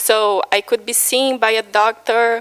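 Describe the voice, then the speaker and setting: A woman talks at a very slow pace in a dry, close recording with no echo. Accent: Brazilian Portuguese. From Brazil, Minas Gerais. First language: Portuguese. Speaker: patient speaker. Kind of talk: personal testimony talk. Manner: halting, many fillers.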